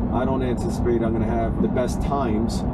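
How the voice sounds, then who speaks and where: The man's fairly quick speech competes with loud background noise. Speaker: car vlogger. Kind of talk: casual vlog chat. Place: car. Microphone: camera far.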